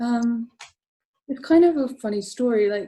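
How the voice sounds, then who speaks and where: A woman with an English accent speaks at a moderate pace in a dark, mellow tone with ordinary pitch variation. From England, Essex. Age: 30s. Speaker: comic colorist. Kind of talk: casual interview. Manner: hesitant, many fillers.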